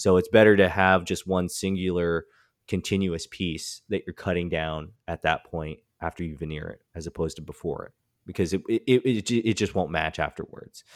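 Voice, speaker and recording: A man's very deep, low voice at a moderate pace, fairly even in intonation, in a dry, close sound with no echo on a very clean recording with a silent background. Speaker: woodworking podcast co-host. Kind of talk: casual chat.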